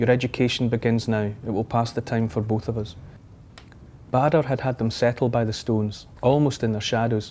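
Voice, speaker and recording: A man in a Scottish accent with a dark, mellow tone, medium pitch, fairly even intonation and moderate pace. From Scotland. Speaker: author and TV presenter. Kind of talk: audiobook-style fiction reading.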